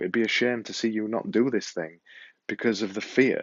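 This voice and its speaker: With a Yorkshire accent, a man speaks at medium pitch and a moderate pace. His intonation is fairly even. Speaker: podcaster and vlogger. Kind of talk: motivational talk to camera. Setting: filming to camera with ear mic.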